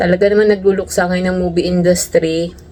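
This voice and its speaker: A woman at a medium pitch, with noticeable background noise. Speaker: overseas worker vlogger. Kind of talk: casual vlog monologue.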